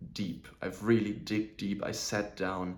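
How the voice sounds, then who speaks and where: Someone with a non-native accent speaks very slowly and with fairly even intonation, and the room echo is audible. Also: man. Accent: non-native speaker of English. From southern Germany. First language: German. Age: 20s. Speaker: self-improvement vlogger. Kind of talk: personal vlog monologue.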